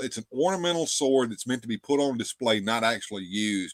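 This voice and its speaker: A man speaks with a Southern US accent. The recording is very clean and dry, close-miked with a silent background and no echo. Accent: Southern twang. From US South. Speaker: livestream show host. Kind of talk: casual chat. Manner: halting, repetitive.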